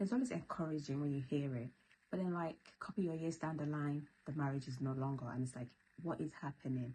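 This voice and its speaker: A soft-spoken, somewhat breathy woman's voice, very deep and low in pitch, dark and mellow in tone, with ordinary pitch variation and a very fast pace. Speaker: YouTuber. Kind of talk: casual vlog talk. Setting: at home at night. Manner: soft, low voice.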